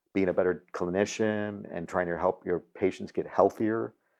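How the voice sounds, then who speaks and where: The voice is monotone, with flat intonation, at a moderate pace. The background is quiet. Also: man. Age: 60s. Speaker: dental practice coach, interviewer. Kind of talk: interview. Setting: retreat lodge.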